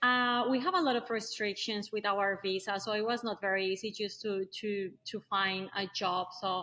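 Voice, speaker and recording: A woman speaks at a moderate pace with a medium pitch, fairly even intonation and hardly any pauses. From Colombia. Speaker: tradeswoman, caulker. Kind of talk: podcast interview.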